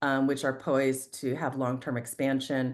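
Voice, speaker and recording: A woman's very deep, low-pitched voice against a quiet background. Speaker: real estate fund investor. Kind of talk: investment presentation on a group call. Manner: filler-heavy, many ums.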